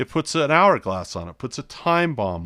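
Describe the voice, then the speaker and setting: A man's bright, sharp tone, dry and close with no echo, in a very clean recording against a silent background. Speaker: investing course teacher. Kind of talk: lecture. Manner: slow and methodical.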